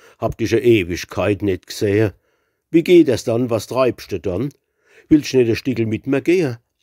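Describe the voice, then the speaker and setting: A man with a dark, mellow tone and lively intonation speaks at a medium pitch, in a dry, close sound with no echo on a very clean recording with a silent background. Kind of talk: dialect poetry reading.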